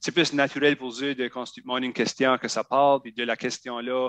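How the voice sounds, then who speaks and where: Dry and close with no echo, a man's medium-pitched voice moves at a moderate pace in a flat monotone. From Acadian New Brunswick (Shediac). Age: 30s. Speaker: podcaster and federal government employee. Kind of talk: casual interview chat.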